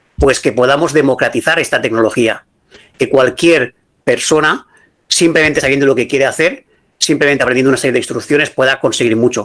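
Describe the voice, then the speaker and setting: Fairly even intonation comes from a man with a fairly high pitch. He talks at a fairly quick pace. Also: very even loudness. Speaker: AI consultant and business school lecturer. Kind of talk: lecture. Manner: fast.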